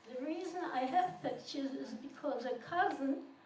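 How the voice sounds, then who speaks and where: Amid noticeable background noise and audible room echo, a woman with a high pitch speaks at a fairly slow pace with ordinary pitch variation. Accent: non-native. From Poland. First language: not English. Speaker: Holocaust survivor. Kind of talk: testimony.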